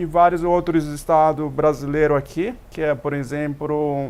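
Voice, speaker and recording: At a moderate pace, a man speaks with fairly high pitch. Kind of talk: TV talk show interview. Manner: halting, with many repetitions.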